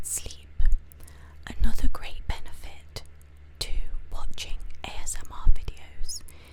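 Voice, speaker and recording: A soft-spoken woman is whispering. Her pace is fairly slow. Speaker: ASMR creator. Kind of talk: ASMR explainer, soft-spoken talk to camera. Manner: soft-spoken, whispering.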